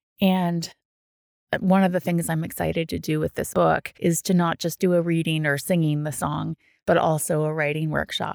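A woman with a Canadian accent speaks in a very deep, low voice, her flat, monotone delivery captured dry and close with no echo. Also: moderate pace. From Ottawa, Canada. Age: 40s. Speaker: children's author and teacher. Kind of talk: casual interview.

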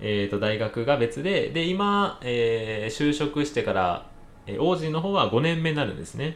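This man talks at a moderate pace in a Kansai accent. His fairly high pitch swings very widely. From Kansai, Japan. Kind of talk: casual chat.

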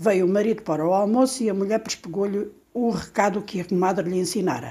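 At a moderate pace, a woman of medium pitch speaks in a dark, mellow tone. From Portugal, Alentejo. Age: 60s. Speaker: storyteller. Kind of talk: reading aloud.

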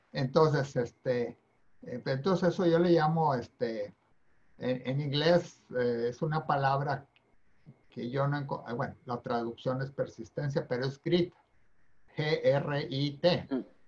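Somewhat breathy and at a fairly high pitch, a man speaks at a very slow pace with long, frequent pauses and ordinary pitch variation. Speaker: retired university president. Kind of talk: interview conversation.

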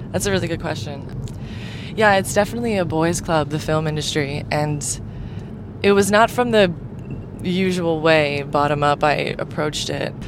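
Pausing long and often at a moderate pace, a woman with an American accent speaks in a very deep, low pitch with ordinary pitch variation, amid audible room echo and noticeable background noise. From US South, Miami, Florida. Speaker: film producer and videographer. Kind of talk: interview.

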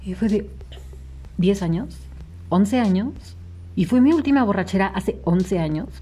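Long pauses come often. Overall the delivery is fairly slow. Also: woman. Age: 20s. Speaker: podcast co-host. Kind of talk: casual chat.

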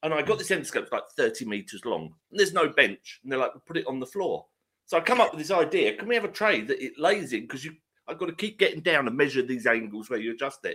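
A man with a fairly high, bright, sharp voice and vocal fry speaks at a very fast pace. His pitch swings very widely and his loudness rises and falls sharply. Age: 50s. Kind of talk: casual chat.

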